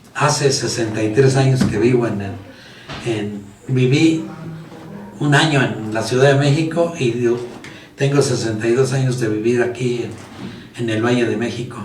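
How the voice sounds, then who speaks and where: A man at a medium pitch with fairly even intonation and a moderate pace, long, frequent pauses, audible room echo, and noticeable background noise. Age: 80s+. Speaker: teacher. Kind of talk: casual chat.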